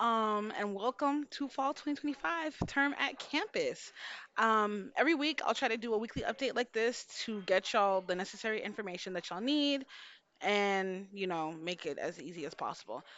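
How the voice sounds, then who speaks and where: Her intonation lively, a woman talks at a fairly high pitch. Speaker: homeroom teacher. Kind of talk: video announcement to students. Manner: fast; casual.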